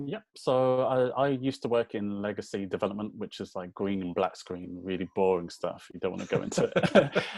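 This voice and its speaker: With a Birmingham accent, a man of fairly low pitch talks at a moderate pace with hardly any pauses, ordinary pitch variation and a quiet background. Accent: British (Birmingham). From England, Birmingham. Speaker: voice designer and developer. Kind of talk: podcast interview.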